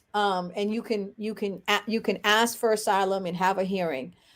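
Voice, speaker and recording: This woman has a Haitian accent and a medium pitch. She talks at a moderate pace. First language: Haitian Creole. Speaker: lawyer and activist. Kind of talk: interview. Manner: halting with frequent fillers and repetitions.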